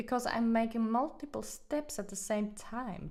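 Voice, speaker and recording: With a non-native accent, a woman speaks at a fairly slow pace. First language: not English. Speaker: hobby painting streamer. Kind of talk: casual live-stream chat. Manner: halting, many fillers and restarts.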